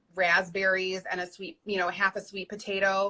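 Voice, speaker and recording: A woman with a Michigan accent, a bright, sharp tone, medium pitch and a fairly slow pace. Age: 30s. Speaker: weight loss success story guest. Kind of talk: interview, personal testimony.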